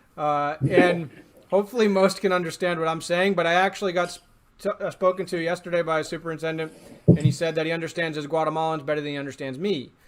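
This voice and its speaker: A man with an American accent speaks at a high pitch. His pace is very fast, his intonation fairly even. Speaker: podcast host and drone salesman. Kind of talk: casual interview. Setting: video call.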